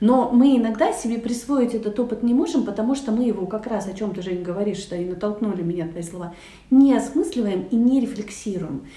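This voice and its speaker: A woman talks at a fairly quick pace in a fairly high voice with lively intonation. Noticeable background noise and audible room echo surround her. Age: 40s. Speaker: guest, avid reader of educational literature. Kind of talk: casual chat.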